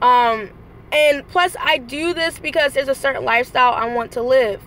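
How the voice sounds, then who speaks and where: A woman speaks in a high voice at a moderate pace, her pitch rising and falling in an ordinary way. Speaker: vlogger and rideshare driver. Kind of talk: motivational vlog. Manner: high energy.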